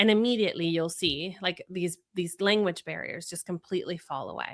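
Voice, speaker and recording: Talking at a fairly quick pace with a Spanish accent, a woman uses a fairly low pitch and fairly even intonation, with big swings in loudness. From Venezuela, then Florida. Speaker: communication strategist and speaker. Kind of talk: podcast interview. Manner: conversational with many fillers.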